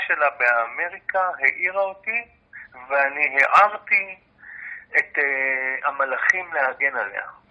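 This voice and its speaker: A man's voice with ordinary pitch variation. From Israel, Jaffa. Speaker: university lecturer and researcher. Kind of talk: interview.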